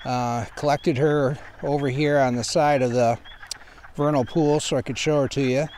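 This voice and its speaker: The delivery is fairly slow, with fairly even intonation. The sound is dry with no echo, and there is light background noise. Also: man. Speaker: nature educator. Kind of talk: nature show presentation. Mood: calm, explanatory. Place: forest.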